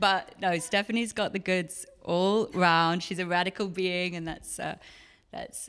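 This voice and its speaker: This woman's voice sits at a medium pitch and stays monotone and flat. She talks at a fairly slow pace. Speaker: psychotherapist and podcast host. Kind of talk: live onstage conversation. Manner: clear enunciation.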